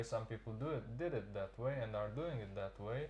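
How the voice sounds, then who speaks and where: The speaker has a Serbian accent, with noticeable background noise in the recording. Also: man. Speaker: immigrant worker. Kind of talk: interview. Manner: halting.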